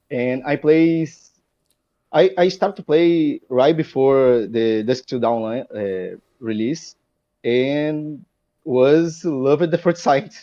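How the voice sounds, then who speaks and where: A man's fairly high voice in a Portuguese accent, with ordinary pitch variation at a very slow pace. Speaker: card game player. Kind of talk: interview. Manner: halting.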